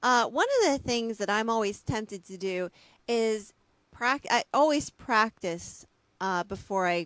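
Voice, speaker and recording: A plain, everyday voice moves at a fairly slow pace with lively intonation. The sound is dry with no echo, against a quiet background. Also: woman. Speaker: audiobook narrator and interviewer; guest. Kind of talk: reading aloud. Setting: video call. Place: home room. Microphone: studio mic.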